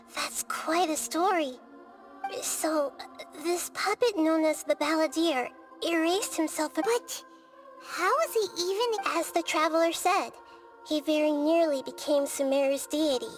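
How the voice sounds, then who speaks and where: A high-pitched, put-on character voice moves at a moderate pace with long, frequent pauses. Music plays clearly in the background. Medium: video game. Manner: calm, explanatory.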